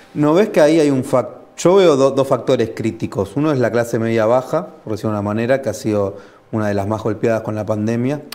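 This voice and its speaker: At a fairly quick pace, a man with a Rioplatense accent talks at a medium pitch with ordinary pitch variation. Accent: Argentine Rioplatense Spanish. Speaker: interviewer. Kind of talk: interview. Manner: halting, repeats words.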